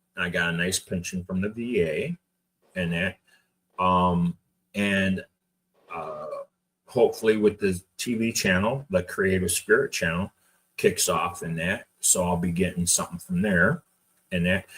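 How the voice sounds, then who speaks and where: A man talks fairly slowly and stops often for long pauses. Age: 60s. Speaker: army veteran and laser engraving show host. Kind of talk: casual live show chat. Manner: halting, with many fillers and repeats.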